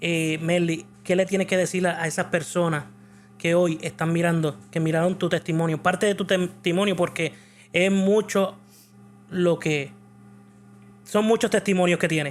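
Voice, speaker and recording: A man with a Puerto Rican accent talks at a moderate pace in a high pitch, with fairly even intonation. His loudness stays very even, and he leaves long, frequent pauses. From Puerto Rico. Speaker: church video show host. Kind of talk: interview.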